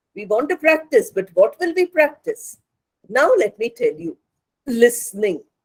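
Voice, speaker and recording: A woman with a Bengali accent speaks at a fairly slow pace and a high pitch, with very wide pitch swings and big swings in loudness. The sound is dry and close, with no echo. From India, Hyderabad. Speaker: English communication lecturer. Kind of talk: lecture.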